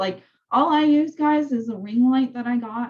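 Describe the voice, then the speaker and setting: A woman's dark, mellow, somewhat breathy voice at a fairly slow pace in a quiet background. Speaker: real estate coach. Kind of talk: training session over video call. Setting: zoom call. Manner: casual, filler-heavy. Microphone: video call.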